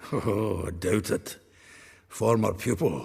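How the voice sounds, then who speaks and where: A raspy put-on character voice from a man, fairly low in pitch and at a fairly slow pace. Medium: video game. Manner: chatty, chuckling.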